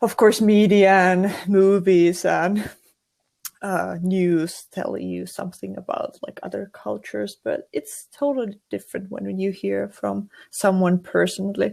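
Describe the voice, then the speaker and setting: Her loudness swinging widely, a woman with a Finnish accent speaks at a fairly slow pace. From Finland. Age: 20s. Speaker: university student and streamer. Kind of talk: casual podcast interview. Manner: halting.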